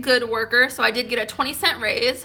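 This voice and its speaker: The woman's voice is high in pitch. Her tone is bright and sharp. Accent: American. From Oklahoma, Tulsa. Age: 30s. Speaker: YouTuber. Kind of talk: casual Q&A vlog. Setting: eating cake while talking.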